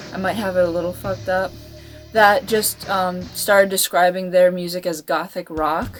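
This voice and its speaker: Background music under a woman's medium-pitched voice, with ordinary pitch variation and a moderate pace. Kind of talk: casual talk to camera. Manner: unscripted, rambling.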